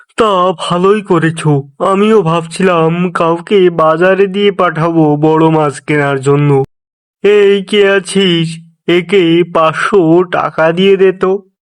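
A man performs a cartoonish character voice, high in pitch. He speaks at a fairly slow pace. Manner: commanding, calls servants with "ei ke achhis".

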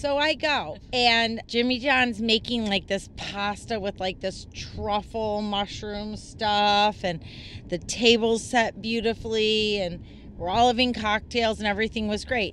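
A plain, everyday voice from a woman, fairly high in pitch, with fairly even intonation at a fairly slow pace. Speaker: writer. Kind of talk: casual chat.

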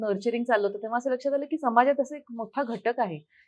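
A woman's fairly high voice with ordinary pitch variation, against a quiet background. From Amravati, Maharashtra, India. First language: Hindi (speaking Marathi). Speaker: foundation founder and parenting coach. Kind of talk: interview.

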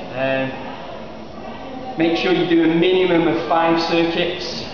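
A man talks in a high pitch with ordinary pitch variation. There is strong room echo and noticeable background noise. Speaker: fitness instructor. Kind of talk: guided workout demonstration with spoken exercise cues. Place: gym. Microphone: camera far.

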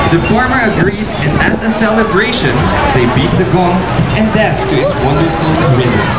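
Moderate pace over loud music in the background. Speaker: event announcer. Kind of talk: announcement narration. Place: street.

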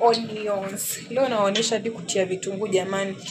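A woman speaks very slowly over noticeable background noise. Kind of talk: casual cooking tutorial. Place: kitchen. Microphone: phone near.

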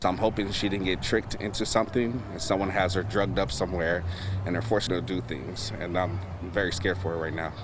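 Over noticeable background noise, a man with a very deep, low voice speaks very fast with ordinary pitch variation, the sound dry with no echo. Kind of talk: interview answer. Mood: worried, heartbroken. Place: street. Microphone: handheld.

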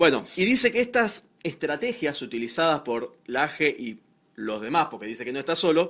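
Against a quiet background, a man with a Rioplatense accent speaks with very wide pitch swings. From Argentina. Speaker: social media page creator. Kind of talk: casual panel discussion, reading from notes. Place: studio.

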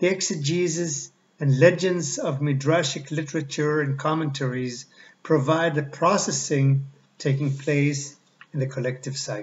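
A man speaks somewhat breathily at a fairly slow pace, his intonation fairly even. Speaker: lecturer. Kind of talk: lecture. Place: home room. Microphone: webcam.

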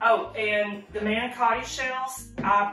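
Clear music plays in the background as a woman speaks, with audible room echo. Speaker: channel host. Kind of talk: cooking tutorial. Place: home room.

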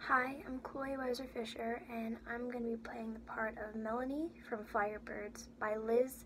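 Over light background noise, a woman speaks at a fairly slow pace in a monotone, flat way. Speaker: auditioning actor. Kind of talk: audition slate introduction. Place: home room. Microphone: webcam.

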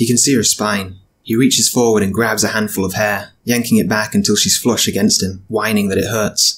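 This is an unforced reading voice. It reads naturally.

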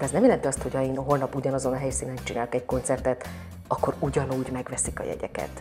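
Faint music plays in the background as a woman talks at a fairly quick pace. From Hungary. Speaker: actress, singer and dubbing voice actor. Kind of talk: interview answer. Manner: casual, conversational. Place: home room. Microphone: lapel.

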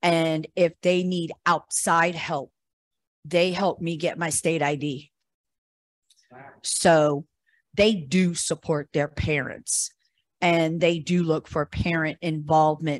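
A woman's fairly low voice in an American accent, very slow and flat in monotone, with long, frequent pauses, big swings in loudness, a dry sound with no echo and a quiet background. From Pittsburgh, Pennsylvania. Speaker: parent advocate. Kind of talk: audience question. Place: meeting room.

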